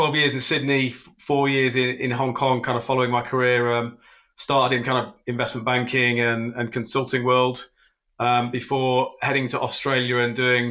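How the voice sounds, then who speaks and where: The speaker uses a British accent, moving at a moderate pace with monotone, flat intonation. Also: man, medium pitch for a man. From UK. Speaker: fintech executive. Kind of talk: podcast interview.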